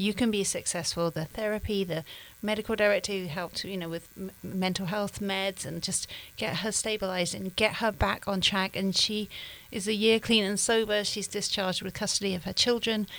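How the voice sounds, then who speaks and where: With a normal speaking voice, a woman speaks at a fairly quick pace and medium pitch with fairly even intonation. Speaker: nonprofit staffer. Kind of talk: casual chat. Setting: studio.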